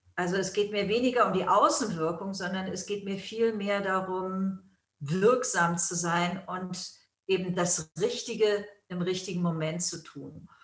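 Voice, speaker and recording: A woman speaks at a medium pitch and a fairly slow pace. Her somewhat breathy voice keeps a fairly even intonation. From Germany. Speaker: yoga school founder and teacher, author. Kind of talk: interview.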